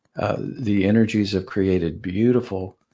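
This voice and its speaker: The speaker talks at a fairly slow pace with an American accent. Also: man. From Georgia, US South. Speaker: close encounter witness and classical guitarist. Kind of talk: interview about personal experiences. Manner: gentle, calm.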